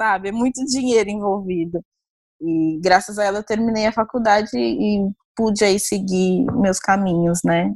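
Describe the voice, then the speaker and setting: A plain, everyday voice from a woman, medium in pitch, at a fairly slow pace with ordinary pitch variation. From Brazil, Osasco, Greater São Paulo. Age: 20s. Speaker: fashion researcher. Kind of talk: interview. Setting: remote call.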